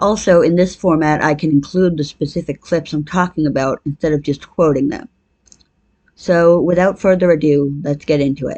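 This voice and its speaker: A woman talks at a moderate pace with a very deep, low pitch. Her tone is dark and mellow, her intonation fairly even. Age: 20s. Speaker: video essayist. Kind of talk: video essay narration.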